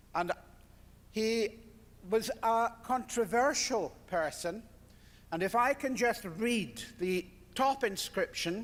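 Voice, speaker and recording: Pausing long and often, a man with a Scottish accent and a high pitch speaks at a very slow pace with ordinary pitch variation. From Scotland. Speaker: surgeon. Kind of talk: lecture.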